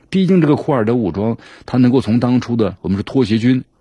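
At a very fast pace, a man with a medium pitch and a dark, mellow tone speaks with ordinary pitch variation over a quiet background. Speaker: news commentary show host. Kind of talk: news commentary monologue. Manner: animated, conversational with many fillers.

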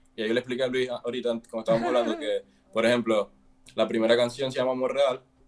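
Speaking at a very fast pace, a man keeps a monotone, flat intonation against noticeable background noise. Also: medium pitch for a man. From Venezuela. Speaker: musician. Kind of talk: casual chat.

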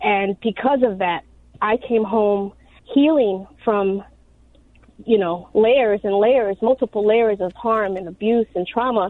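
An unremarkable speaking voice from a woman with an American accent and fairly high pitch, at a fairly slow pace with ordinary pitch variation. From Chicago, South Side. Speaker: reentry advocate, formerly incarcerated. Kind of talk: radio interview. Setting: phone call.

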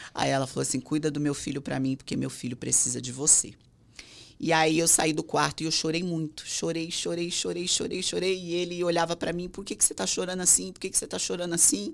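A woman speaks at a very fast pace with vocal fry. Her pitch sits fairly low. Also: ordinary pitch variation, very clean recording, silent background. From São Paulo, Brazil. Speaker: singer's wife. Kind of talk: casual chat.

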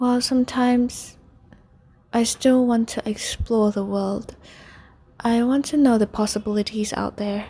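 Speaking in a Vietnamese accent, a woman talks at a fairly high pitch and a fairly slow pace with fairly even intonation. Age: 20s. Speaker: podcaster, English instructor. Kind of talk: personal monologue. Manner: halting.

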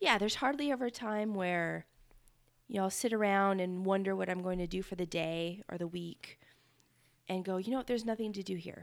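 With an American accent, a woman talks at a fairly quick pace in an unremarkable speaking voice, her medium pitch showing ordinary variation. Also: very clean recording, silent background. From Northern Nevada. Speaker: podcast co-host. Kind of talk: casual chat.

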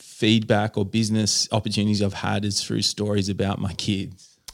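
A man speaks with an Australian accent at a fairly low pitch. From Australia, New South Wales Central Coast. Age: 40s. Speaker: artist. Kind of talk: casual interview. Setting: home studio.

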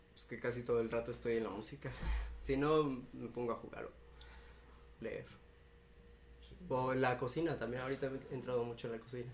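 Amid noticeable background noise and audible room echo, a man at medium pitch talks at a fairly quick pace in a monotone, flat intonation, with long, frequent pauses. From Cuernavaca, Mexico. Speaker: indie musician. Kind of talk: casual interview.

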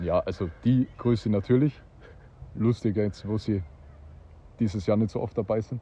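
A man speaks in a somewhat breathy, dark, mellow tone at a fairly low pitch with ordinary variation. His pace is moderate, broken by long, frequent pauses. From Austria. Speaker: disc golf player. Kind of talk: casual interview.

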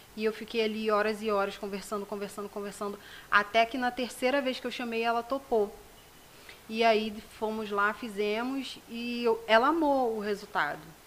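Using a plain, everyday voice, a woman speaks at a moderate pace with a fairly high pitch and fairly even intonation. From Rio de Janeiro state, Brazil. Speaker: self-esteem project founder. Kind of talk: casual interview. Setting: studio.

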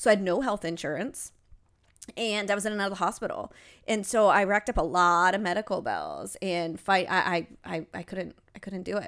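In a very clean recording with a silent background, a woman with an American accent speaks in an unremarkable speaking voice at a fairly quick pace, with a medium pitch and ordinary pitch variation. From Ohio. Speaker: podcast co-host. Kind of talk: casual chat. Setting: home.

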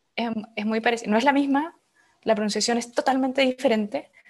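The speaker has a Chilean accent. The intonation stays fairly even. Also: woman. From Chile, Valdivia. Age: 20s. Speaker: urban planner. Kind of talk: interview.

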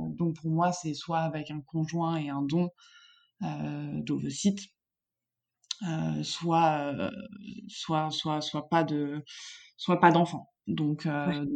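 Against a quiet background, a woman speaks very slowly in a very deep, low pitch, with fairly even intonation and long, frequent pauses. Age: 30s. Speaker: furniture designer sharing her fertility journey. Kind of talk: personal testimony in interview.

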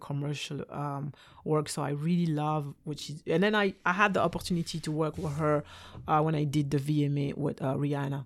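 With a French accent, a woman talks at a moderate pace in a very deep, low pitch and fairly even intonation, on a very clean recording with a silent background. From Belgium. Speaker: dancer and dance teacher. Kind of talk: casual interview chat.

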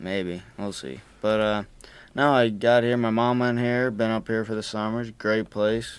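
A plain, everyday voice with an American accent and fairly even intonation. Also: man, medium pitch for a man, moderate pace. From Arizona, Tucson. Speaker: college student podcast host. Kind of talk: casual chat. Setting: studio.

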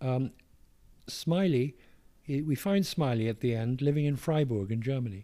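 The speaker is a man with a dark, mellow tone and lively intonation. He goes at a moderate pace. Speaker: author reading own memoir. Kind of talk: interview with reading aloud from book.

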